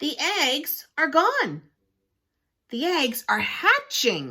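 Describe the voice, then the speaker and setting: A woman puts on a character voice, high-pitched and very slow. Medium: read story. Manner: calm, cheerful.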